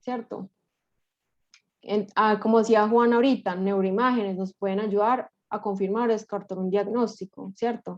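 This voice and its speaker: A woman with a fairly high voice speaks with fairly even intonation in a dry, close recording with no echo. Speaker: neuropsychologist presenting a clinical case. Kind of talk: case presentation to a study group. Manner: fast; stumbles over words.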